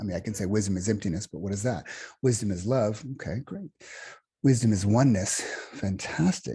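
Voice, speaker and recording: Somewhat breathy with a dark, mellow tone, a man speaks in an American accent at a fairly low pitch. His pitch variation is ordinary, and the background is quiet. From United States. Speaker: meditation teacher. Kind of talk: workshop talk. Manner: halting, with many fillers and restarts.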